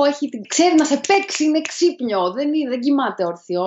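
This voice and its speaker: A woman's high-pitched, animated voice with very wide pitch swings, over noticeable background noise. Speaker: podcast co-host. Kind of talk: casual chat. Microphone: poor sound quality, mic misused until now.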